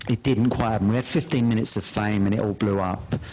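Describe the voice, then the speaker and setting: This man speaks with a London accent. Background noise is noticeable. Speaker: hypnotherapist. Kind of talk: interview.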